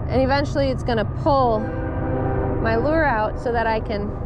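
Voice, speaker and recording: Noticeable background noise sits behind a woman speaking at a moderate pace, the sound dry with no echo. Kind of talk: casual vlog chat. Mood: playful, laughing. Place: boat.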